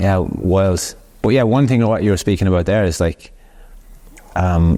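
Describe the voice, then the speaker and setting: A man speaks at a moderate pace in a very deep, low voice. His loudness stays very even, with ordinary pitch variation. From Ireland, Cork. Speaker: podcast host, barber coach. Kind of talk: casual chat.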